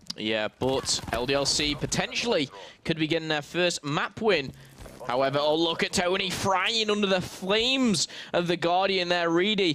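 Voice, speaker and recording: A man's high-pitched voice with lively intonation and very even loudness, at a moderate pace, over noticeable background noise. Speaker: esports commentator. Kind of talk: live commentary.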